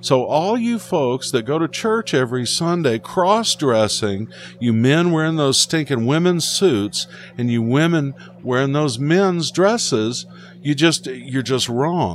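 A man with a fairly high pitch speaks at a fairly slow pace, his pitch swinging very widely. Music plays in the background. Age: 50s. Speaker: pastor and podcast host. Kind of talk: casual monologue.

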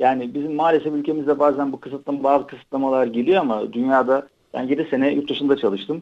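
A man with a fairly high pitch rattles through his words at a very fast pace. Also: fairly even intonation. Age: 40s. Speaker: tech company executive. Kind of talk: interview.

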